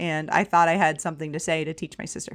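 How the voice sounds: Speaking fast in a low, fairly bright voice with little pitch movement, a woman is heard on a very clean recording with a silent background.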